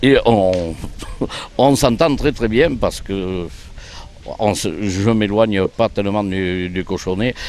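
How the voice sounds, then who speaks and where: Long, frequent pauses mark very slow speech with ordinary pitch variation. Noticeable background noise is present. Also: man, fairly low pitch for a man. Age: 60s. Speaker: blind pétanque player. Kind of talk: interview. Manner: hesitant.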